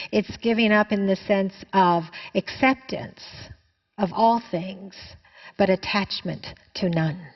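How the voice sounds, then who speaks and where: Speaking very slowly, a woman uses a medium pitch, fairly even intonation and a somewhat breathy voice. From Canada. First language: Chinese. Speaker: spiritual teacher. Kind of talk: answering a viewer question in a spiritual talk.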